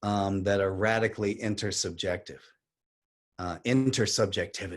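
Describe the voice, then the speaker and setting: An unremarkable speaking voice belongs to a man with a fairly low pitch, fairly even intonation and a moderate pace against a quiet background. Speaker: poet and activist. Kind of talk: talk on poetry and activism.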